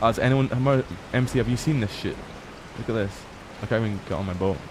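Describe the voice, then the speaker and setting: A man with a medium-pitched voice talks very fast, using ordinary pitch variation, over noticeable background noise. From Scotland. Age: 20s. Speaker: gaming streamer. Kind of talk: casual chat. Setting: live stream. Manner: animated.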